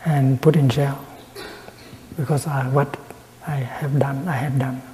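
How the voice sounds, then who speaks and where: Soft-spoken and very slow, a man talks at a fairly high pitch in a monotone, flat intonation over noticeable background noise. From Vietnam. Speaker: Buddhist monk and peace activist. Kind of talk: Dharma talk, meditation teaching. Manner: soft-spoken, slow.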